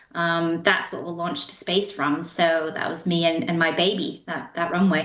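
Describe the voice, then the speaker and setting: A woman speaks at a moderate pace in a monotone, flat intonation. Noticeable background noise is present. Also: fairly low pitch for a woman. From Canada, interior British Columbia. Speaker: spaceport head. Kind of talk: interview.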